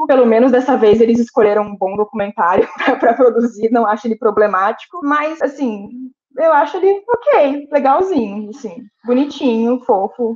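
A woman talks at a moderate pace. Her high pitch carries lively intonation. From Brazil, Santos. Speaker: podcast co-host, film critic. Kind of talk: casual chat.

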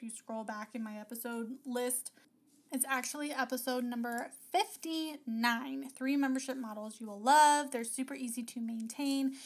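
An animated woman's voice, high in pitch with ordinary pitch variation, at a moderate pace. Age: 30s. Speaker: podcast host and business coach for creatives. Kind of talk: casual solo podcast talk.

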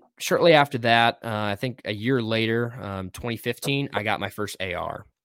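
An unremarkable speaking voice: a man with an American accent, medium pitch and ordinary pitch variation at a fairly slow pace. The sound is dry and close with no echo, in a very clean recording with a silent background. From Wisconsin, US. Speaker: co-host and firearms instructor. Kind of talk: casual chat. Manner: many filler words.

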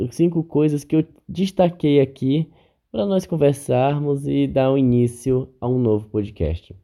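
This man's voice has a dark, mellow tone. He talks at a fairly slow pace. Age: 30s. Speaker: podcast host. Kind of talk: solo podcast monologue. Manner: casual, conversational.

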